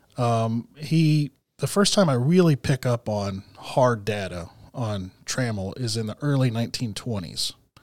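A man with an American accent speaks at a fairly slow pace and medium pitch, with lively intonation. It's an ordinary speaking voice, on a very clean recording with a silent background. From Texas. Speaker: historian. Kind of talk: interview.

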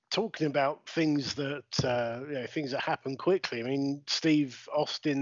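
A man speaks with a British accent at a fairly high pitch. His pace is moderate and his pitch varies in an ordinary way. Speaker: podcast host. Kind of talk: casual podcast interview. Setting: remote recording during lockdown.

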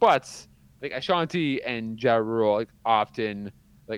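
A man with a Canadian accent speaks in a normal speaking voice at medium pitch. His pace is fairly slow, and the background is quiet. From Canada. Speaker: podcast co-host. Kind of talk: casual chat.

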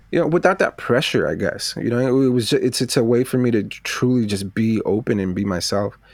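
A man talks at a fairly quick pace, his medium pitch moving with ordinary variation. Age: 30s. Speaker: fine artist. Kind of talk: casual chat. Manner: halting, many fillers.

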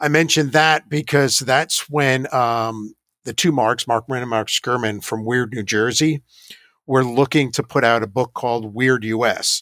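A man with an American accent talks in an unremarkable speaking voice at a medium pitch and moderate pace, with fairly even intonation and a dry, close sound with no echo. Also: very clean recording, silent background. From US Northeast, Hudson Valley, New York. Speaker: paranormal investigator. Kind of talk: interview.

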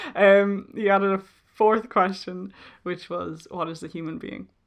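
With a Dublin accent, a woman speaks at a moderate pace in fairly even intonation against a quiet background. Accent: Dublin Irish. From Ireland, Dublin. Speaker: podcast host. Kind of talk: solo casual monologue. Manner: hesitant, many ums and laughs.

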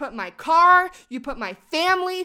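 A woman's raised, projected voice, animated, with a bright, sharp tone. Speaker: podcast co-host. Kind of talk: casual chat. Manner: animated, laughs often.

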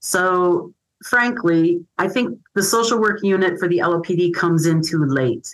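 A normal speaking voice at a fairly slow pace, with lively intonation and very even loudness. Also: woman, fairly low pitch for a woman. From Michigan. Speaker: social worker. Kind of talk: interview.

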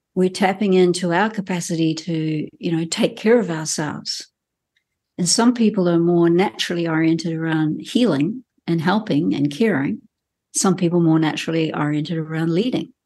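Speaking at a moderate pace in a New Zealand accent, a woman has a fairly low, dark, mellow voice with ordinary pitch variation over a quiet background. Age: 60s. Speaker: healthcare professional and coach. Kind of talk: interview.

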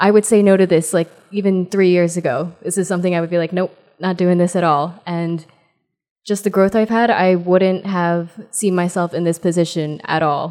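A woman's unremarkable speaking voice, fairly low in pitch, in an American accent, with fairly even intonation and a moderate pace. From New Jersey. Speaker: pre-K teacher. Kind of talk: casual chat. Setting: retreat.

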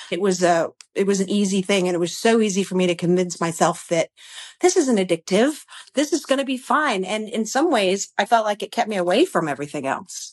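Using an ordinary speaking voice, a woman with an American accent talks at a fairly quick pace with a medium pitch and lively intonation. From Connecticut, US Northeast. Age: 50s. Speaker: person in recovery. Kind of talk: interview.

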